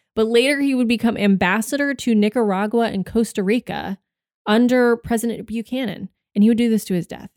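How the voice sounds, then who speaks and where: A woman's normal speaking voice in an American accent, fairly high in pitch, fairly quick and fairly even in intonation, with a dry, close sound and no echo. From Texas, Austin. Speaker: podcast co-host. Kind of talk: casual chat.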